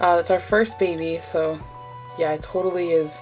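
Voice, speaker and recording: Music plays in the background. A woman with a fairly low pitch speaks at a moderate pace. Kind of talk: casual talk to camera. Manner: rambly, trailing off; quiet, held back.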